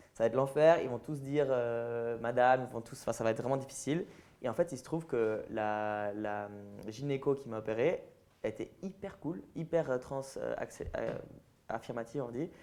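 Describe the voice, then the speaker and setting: Here a man talks at a moderate pace in a dark, mellow tone. His pitch sits at a medium level with ordinary variation. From French-speaking Switzerland, near Lausanne. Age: 20s. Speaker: transgender activist and influencer. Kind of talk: public interview with audience Q&A.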